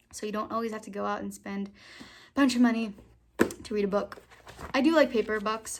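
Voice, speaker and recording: Fairly quick speech from a woman with a fairly high pitch. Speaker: book vlogger. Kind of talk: casual chat. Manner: fast; animated.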